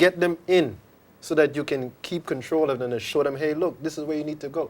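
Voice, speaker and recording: Using ordinary pitch variation, a man speaks in an unremarkable speaking voice. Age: middle-aged. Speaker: drag racing association representative. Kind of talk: studio interview.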